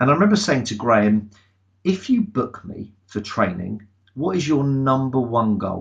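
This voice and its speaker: Here a man speaks with an English accent. His intonation is lively and his pace moderate. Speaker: sales trainer. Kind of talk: webinar presentation. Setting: online webinar. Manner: loud.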